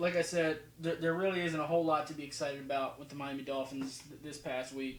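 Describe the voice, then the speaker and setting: Amid noticeable background noise and audible room echo, a man speaks. His pace is fairly quick and his intonation fairly even. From New Jersey until age six, then elsewhere. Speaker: football film analysis youtuber. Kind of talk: casual video commentary. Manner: casual, halting with fillers.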